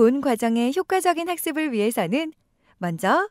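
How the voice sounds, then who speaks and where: In a very clean recording with a silent background and a dry, close sound free of echo, a woman speaks at a high pitch and a moderate pace, her pitch swinging very widely. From South Korea. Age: 20s. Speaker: voice actor. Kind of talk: e-learning narration.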